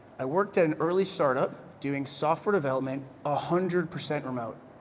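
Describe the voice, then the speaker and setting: The speaker has an American accent, and audible room echo is present. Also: man. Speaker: keynote speaker on freelancing. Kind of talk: keynote speech. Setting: stage with audience. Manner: animated, conversational.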